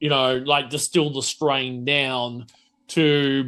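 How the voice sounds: Ordinary pitch variation with a bright, sharp tone. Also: man.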